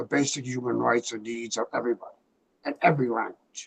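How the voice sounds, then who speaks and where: A man's medium-pitched voice with vocal fry, fairly even intonation, a fairly quick pace and big swings in loudness, dry and close with no echo. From Cape Verde. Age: 70s. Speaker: community activist and war veteran. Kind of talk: public comment at a meeting.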